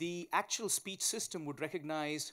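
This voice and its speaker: A man with a strong Indian accent on a very clean recording with a silent background. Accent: thick Indian. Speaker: tech company founder and CEO. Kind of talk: conference panel talk. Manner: fast.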